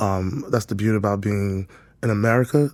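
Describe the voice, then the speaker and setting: A fairly low-pitched man's voice with ordinary pitch variation in a very clean recording against a silent background. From West Africa, raised in New York. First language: French. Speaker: boutique owner and creative director. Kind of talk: podcast interview.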